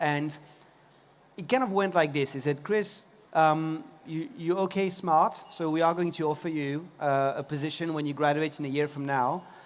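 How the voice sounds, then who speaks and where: With a French accent, a man talks using ordinary pitch variation. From France, Paris. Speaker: tech company CEO. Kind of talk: conference talk.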